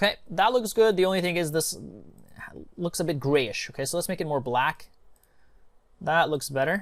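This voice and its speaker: Pausing long and often, a man with a high pitch speaks at a moderate pace with ordinary pitch variation. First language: not English. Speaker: online marketing tutor. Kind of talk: screen-share tutorial. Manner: casual, with many fillers.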